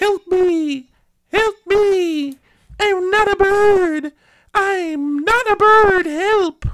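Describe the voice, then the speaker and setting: The put-on character voice is squeaky and extremely high in pitch, delivered at a very slow pace. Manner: squawky, panicked.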